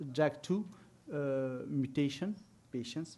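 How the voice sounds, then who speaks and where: Speaking at a very slow pace, a man uses a fairly high pitch. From France. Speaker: medical researcher. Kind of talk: conference talk. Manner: hesitant, many fillers.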